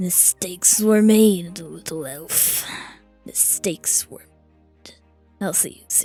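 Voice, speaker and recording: Someone speaks in a put-on character voice at a fairly slow pace. Faint music plays in the background. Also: woman, medium pitch for a woman. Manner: annoyed.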